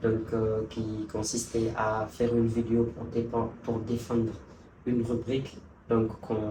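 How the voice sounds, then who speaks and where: A man with a Guinean accent speaks very slowly at medium pitch in a monotone, flat intonation. Audible room echo and music in the background accompany him. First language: Pular (speaking French). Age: young. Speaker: youth envoy. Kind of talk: interview. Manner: halting.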